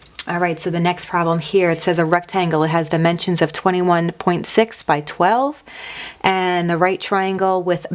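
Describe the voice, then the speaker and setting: A woman with an ordinary speaking voice talks at a moderate pace, her pitch fairly low and her intonation fairly even. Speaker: math teacher. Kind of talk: recorded lesson. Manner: casual.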